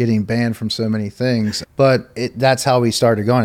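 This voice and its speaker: A man speaks fairly quickly in a normal speaking voice. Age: 30s. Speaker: lawn care operator and online group founder. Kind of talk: casual interview. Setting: trade show.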